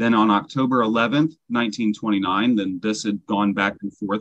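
A man talks in an ordinary speaking voice. His intonation stays fairly even. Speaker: class presenter. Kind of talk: lecture.

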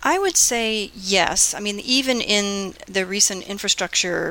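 A woman with an American accent and ordinary pitch variation, against noticeable background noise. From US, Florida (Fort Lauderdale area). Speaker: economics professor. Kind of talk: interview.

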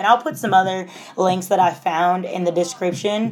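Over music in the background, a woman speaks at a moderate pace and medium pitch with fairly even intonation. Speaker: fitness instructor and podcast host. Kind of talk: casual solo podcast talk. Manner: casual, filler-heavy.

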